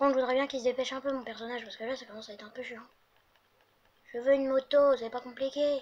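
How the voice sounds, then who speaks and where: Talking very fast yet with long, frequent pauses, a woman uses a high, monotone, flat delivery with big swings in loudness. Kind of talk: casual, gaming commentary.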